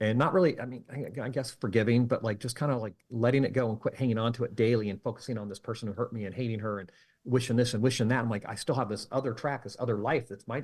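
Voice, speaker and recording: With an American accent, the speaker talks at a very fast pace in a somewhat breathy voice with ordinary pitch variation, over a very clean recording and silent background. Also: man, medium pitch for a man. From California. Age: 50s. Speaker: mentalist and magician. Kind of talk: interview conversation. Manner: halting.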